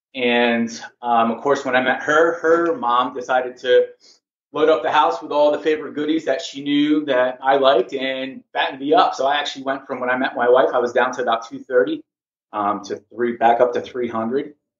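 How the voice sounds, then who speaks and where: Speaking at a moderate pace, a man has an unremarkable speaking voice, medium in pitch, with fairly even intonation. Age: 40s. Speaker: kettlebell instructor and massage therapist. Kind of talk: interview.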